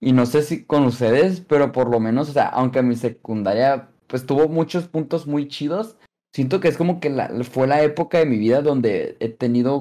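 This man has a fairly high pitch. His tone is dark and mellow. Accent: Mexican. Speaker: podcast co-host. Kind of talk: casual chat.

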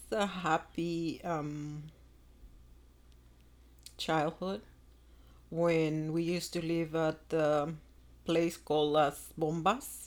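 The speech moves at a very slow pace with long, frequent pauses. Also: woman.

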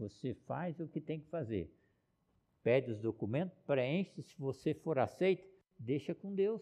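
A dark, mellow tone at a fairly slow pace with lively intonation. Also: man, fairly high pitch for a man. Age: 70s. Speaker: pastor. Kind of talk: sermon.

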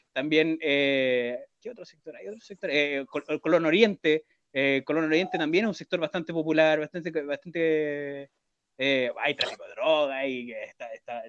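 An ordinary speaking voice moves at a fairly slow pace with ordinary pitch variation. Its loudness swings widely. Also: man, fairly high pitch for a man. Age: 30s. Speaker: podcast co-host. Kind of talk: casual chat.

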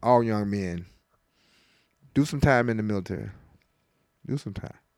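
A man speaks with a Tennessee accent. His pitch varies in an ordinary way. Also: very clean recording, silent background. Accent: US Southern (Tennessee). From West Tennessee, Lexington. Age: 50s. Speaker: fire department district chief and Navy veteran. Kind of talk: casual interview.

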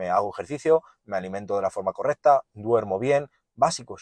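Dry, close sound with no echo and a fairly quick pace. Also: man. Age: 20s. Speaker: podcaster. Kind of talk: solo monologue. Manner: animated.

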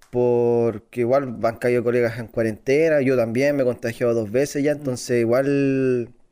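A man with a Chilean accent talks at medium pitch with hardly any pauses. His tone is dark and mellow, his intonation monotone and flat. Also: moderate pace. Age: 20s. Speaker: emergency health worker. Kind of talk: casual chat.

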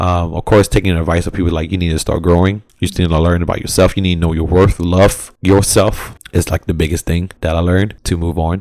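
Fairly quick speech from a man with an American accent, very deep and low in pitch, in a monotone with flat intonation. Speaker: podcast co-host. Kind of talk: casual chat.

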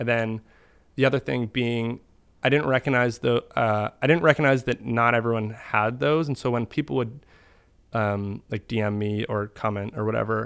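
The speaker has a normal speaking voice with an American accent, at a moderate pace. Pitch variation is ordinary, and the background is quiet. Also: man. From US Northeast, Boston. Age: 20s. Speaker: internet video artist. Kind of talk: casual chat.

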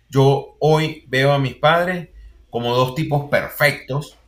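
A man's fairly high voice in a Venezuelan accent, with fairly even intonation. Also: very clean recording, silent background. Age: 40s. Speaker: university lecturer and consultant. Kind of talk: interview.

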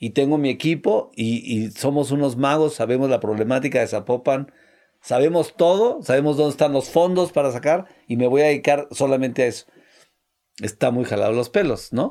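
A man with a Mexican accent and a fairly high pitch speaks at a moderate pace in a dark, mellow tone. His pitch varies in an ordinary way, and the recording is very clean, with a silent background. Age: 60s. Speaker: entrepreneur. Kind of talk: casual chat.

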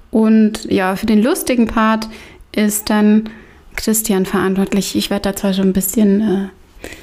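A woman talks at a very slow pace with a fairly high pitch. Her voice is somewhat breathy and her intonation fairly even. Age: 30s. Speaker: podcast host. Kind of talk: casual chat.

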